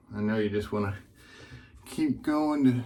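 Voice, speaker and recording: A man speaks quietly in a relaxed tone. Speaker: wet shaving video creator. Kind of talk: casual shave tutorial.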